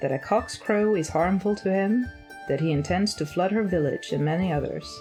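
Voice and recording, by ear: Faint music plays behind a woman with a dark, mellow tone, who speaks at a moderate pace with ordinary pitch variation.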